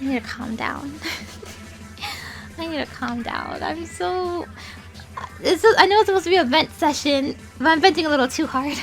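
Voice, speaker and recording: A high-pitched woman shouts with lively intonation and big swings in loudness, leaving long, frequent pauses. Music plays in the background. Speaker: streamer and YouTuber. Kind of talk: vent session. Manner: fast; loud, yelling.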